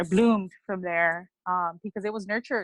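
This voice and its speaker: At a moderate pace, the speech has fairly even intonation and a dry, close sound with no echo. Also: woman. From Southeast Los Angeles, Mexican-American. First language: Spanish. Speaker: poet. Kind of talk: interview. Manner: casual, filler-heavy.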